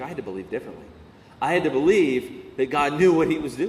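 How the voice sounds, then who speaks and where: A man talks at a fairly quick pace with vocal fry and very wide pitch swings, and audible room echo is present. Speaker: pastor. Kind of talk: sermon.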